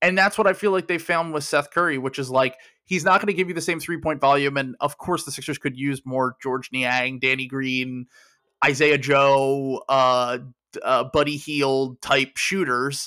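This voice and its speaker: A man with an American accent, fairly high in pitch, with a bright, sharp tone, ordinary pitch variation and a moderate pace, in a dry, close sound with no echo on a very clean recording with a silent background. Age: 30s. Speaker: sports podcast host. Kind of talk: casual chat.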